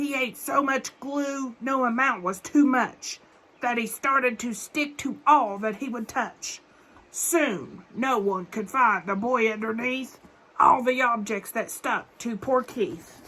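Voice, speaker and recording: A woman's put-on character voice at a high pitch and a fairly slow pace. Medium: read story. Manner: rhyming, stern, ominous.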